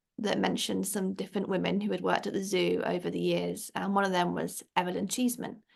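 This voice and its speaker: A woman with an English accent talks at a very fast pace. The background is quiet. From England. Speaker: children's book author. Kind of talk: interview.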